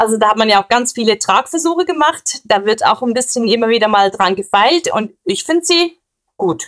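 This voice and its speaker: A woman's fairly high voice with very wide pitch swings, very even loudness and a moderate pace. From Switzerland. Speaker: police officer. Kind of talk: interview. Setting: recorded at home.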